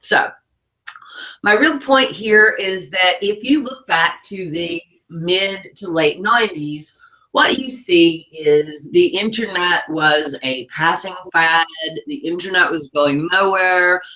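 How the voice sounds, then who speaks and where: A woman speaks with a Southern US accent at a very slow pace. Her medium-pitched voice has lively intonation. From US South. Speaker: online marketing business owner. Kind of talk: webinar presentation.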